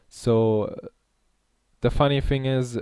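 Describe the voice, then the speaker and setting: Speaking with a non-native accent, a man talks at a fairly slow pace in a dark, mellow tone with fairly even intonation. The recording is very clean with a silent background and a dry, close sound with no echo. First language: not English. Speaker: gaming YouTuber. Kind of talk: gameplay tutorial. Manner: hesitant, many fillers.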